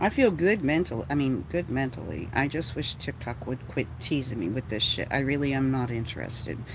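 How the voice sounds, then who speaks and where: A woman with a very deep, low pitch at a fairly quick pace with hardly any pauses, over noticeable background noise. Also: lively intonation. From Texas. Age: 60s. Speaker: livestreamer. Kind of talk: casual livestream chat. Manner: animated, ranting.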